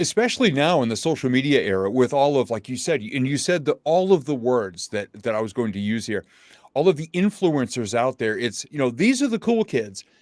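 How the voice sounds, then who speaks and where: A man with an American accent and a medium pitch speaks at a fairly quick pace with very wide pitch swings. The sound is dry and close with no echo, on a very clean recording with a silent background. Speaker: motivational speaker. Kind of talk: interview. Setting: live stream. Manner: casual, conversational.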